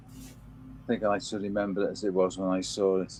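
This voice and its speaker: Against music in the background, a man in a Liverpool accent talks at a fairly low pitch and a moderate pace. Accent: Liverpool (Scouse) English. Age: 80s. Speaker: Elvis fan and record collector. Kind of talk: casual chat. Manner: halting, with repeated words.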